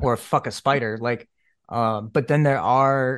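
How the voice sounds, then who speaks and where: A man in a plain, everyday voice, medium pitch and ordinary pitch variation, over a quiet background. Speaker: podcast host. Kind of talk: casual chat.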